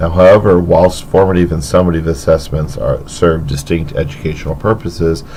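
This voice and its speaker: Amid noticeable background noise and audible room echo, a man speaks in a very deep, low voice. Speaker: teacher. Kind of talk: educational podcast.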